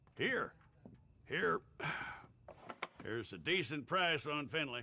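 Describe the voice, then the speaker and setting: In a put-on character voice, a man sounds raspy, with a fairly high pitch and lively intonation. He goes at a fairly slow pace. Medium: video game. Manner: dry, mocking.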